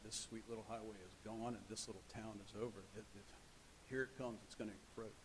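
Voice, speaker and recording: Mumbling at a very fast pace, a man speaks at medium pitch. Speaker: cardiologist speaking at public comment. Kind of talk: public comment at council meeting. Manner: halting.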